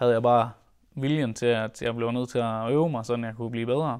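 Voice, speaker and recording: A man talks at a moderate pace in a medium pitch, with a quiet background behind him. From Denmark, North Jutland; Denmark. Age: 20s. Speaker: rallycross driver. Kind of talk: interview; interview answer. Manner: hesitant with fillers. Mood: calm, reflective.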